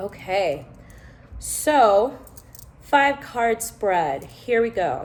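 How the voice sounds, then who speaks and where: A woman speaks at a very slow pace with lively intonation. Background noise is noticeable. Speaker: tarot reader. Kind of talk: tarot reading vlog.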